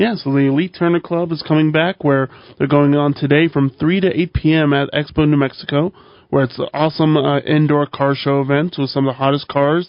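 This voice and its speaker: A man speaks with a plain, everyday voice at a fairly high pitch. His pace is fairly quick and his loudness very even. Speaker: co-host. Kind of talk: casual radio banter. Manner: upbeat, chatty.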